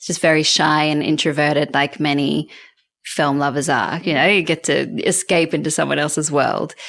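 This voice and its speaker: In a very clean recording with a silent background, a woman with an Australian accent speaks at a moderate pace with a very deep, low pitch and monotone, flat intonation. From Australia (Canberra). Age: 40s. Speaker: film journalist and TV presenter. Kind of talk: interview conversation.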